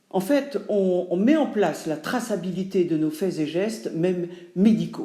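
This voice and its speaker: A woman with a dark, mellow tone and medium pitch speaks at a fairly slow pace. Her intonation is lively, and room echo is audible. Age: 70s. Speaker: actress and writer. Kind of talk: testimony.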